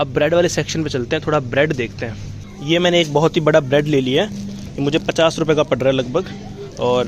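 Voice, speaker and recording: A man speaks at a moderate pace with a fairly high pitch. His pitch varies in an ordinary way, and there is noticeable background noise. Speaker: travel vlogger. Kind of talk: walking vlog narration. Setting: supermarket. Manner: casual, conversational.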